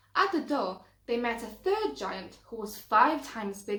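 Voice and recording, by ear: A natural voice reads the text aloud.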